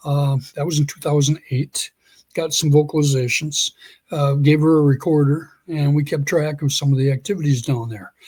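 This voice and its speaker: At a moderate pace, a man with a fairly high, somewhat breathy voice speaks with fairly even intonation in a dry, close sound with no echo. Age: 60s. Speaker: Sasquatch researcher. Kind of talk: interview storytelling. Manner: halting, frequent self-repetition.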